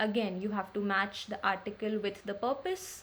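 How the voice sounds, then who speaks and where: Her voice is somewhat breathy. The woman's pitch sits fairly high. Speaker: law exam tutor. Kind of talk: tutorial.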